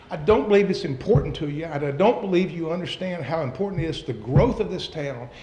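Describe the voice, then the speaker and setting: Over noticeable background noise and audible room echo, a man speaks fairly quickly at a high pitch with lively intonation. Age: 60s. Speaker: local investor speaking at a city council meeting. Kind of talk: public comment. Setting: city council meeting. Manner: animated.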